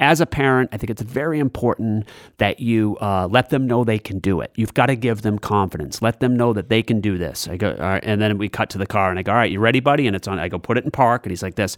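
A man with a New England accent speaks at a very fast pace and medium pitch. The sound is dry and close, with no echo. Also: very clean recording, silent background. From New Hampshire / southern Maine seacoast. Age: 50s. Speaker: comedian. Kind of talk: interview.

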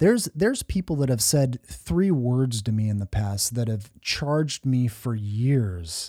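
Breathy in places, a man talks fairly slowly in a dark, mellow tone at medium pitch with lively intonation. The recording is very clean with a silent background and a dry, close sound without echo. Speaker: author and speaker. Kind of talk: casual interview chat. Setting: live stream.

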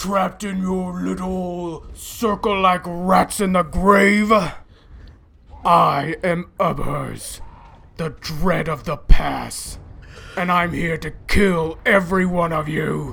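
In a put-on character voice at middle pitch, the speaker shouts and bellows with a raspy sound at a very slow pace. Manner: roaring, shouting, menacing.

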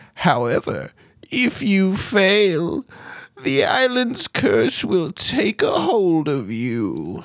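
Very slow delivery in a put-on character voice, pitched in the middle range. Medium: actual play. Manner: cryptic, doddering, fond of saying oh.

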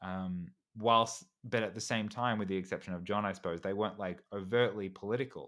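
The speaker has an Australian accent, captured on a very clean recording with a silent background. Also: man, fairly low pitch for a man, fairly quick pace. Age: 30s. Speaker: YouTuber and actor. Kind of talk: casual chat. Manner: halting, frequent repetitions.

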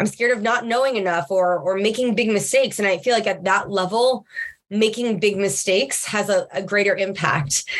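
A woman with an American accent has an ordinary speaking voice, medium pitch and ordinary pitch variation, talking at a moderate pace. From Long Island, New York. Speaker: podcast co-host, customer success executive. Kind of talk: casual chat.

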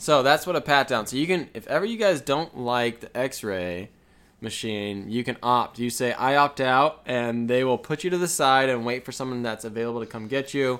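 A man with a normal speaking voice talks at a moderate pace and medium pitch, with ordinary pitch variation, in a very clean recording over a silent background. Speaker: podcast co-host. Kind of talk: casual chat. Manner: playful banter.

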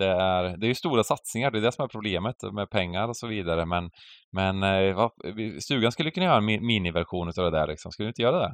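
This man's voice sits at a fairly low pitch with ordinary variation. He talks at a very fast pace. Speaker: poker podcast co-host. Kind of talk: casual chat. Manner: animated, loud ranting.

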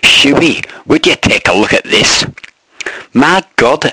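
A man's raspy put-on character voice at a fairly high pitch, fairly slow pace and very even loudness, with a dry, close sound with no echo. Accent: Scottish. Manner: exclaiming, astonished.

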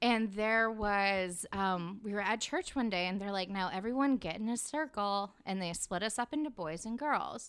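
In an unremarkable speaking voice, a woman with an American accent talks at a moderate pace with hardly any pauses, her medium pitch varying in an ordinary way on a very clean recording with a silent background. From Arkansas (Little Rock), US South. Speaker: actor and writer. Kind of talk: casual interview chat. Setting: in a car.

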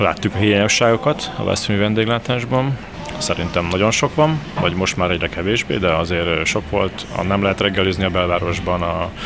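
Over noticeable background noise, a man with a very deep, low voice talks at a fairly quick pace, keeping his loudness very even and his pitch variation ordinary. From Göd, Hungary. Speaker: restaurant owner. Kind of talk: interview. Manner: hesitant, many fillers.

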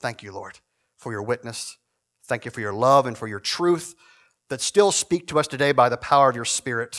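A man with an unremarkable speaking voice talks at a moderate pace and medium pitch, with ordinary pitch variation and a dry, close sound with no echo. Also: very clean recording, silent background. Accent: American. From Virginia, Shenandoah Valley. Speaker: guest preacher, church historian. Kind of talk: prayer; sermon. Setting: church service with congregation.

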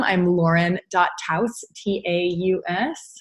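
A somewhat breathy voice with an American accent comes through against a quiet background. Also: woman. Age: 30s. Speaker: yoga teacher and therapist. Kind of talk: interview.

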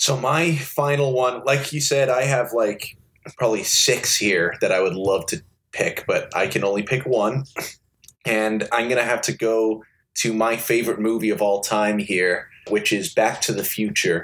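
This man has a plain, everyday voice at a medium pitch, talking at a moderate pace with ordinary pitch variation. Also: very even loudness. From US, born in Liverpool, England, moved at six. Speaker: game show contestant guest. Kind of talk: casual chat.

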